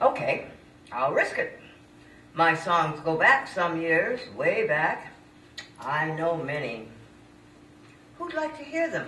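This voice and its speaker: Speaking very slowly with long, frequent pauses, a woman is heard over noticeable background noise and audible room echo. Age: 80s+. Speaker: senior poet and former performer. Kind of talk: reading aloud own poem.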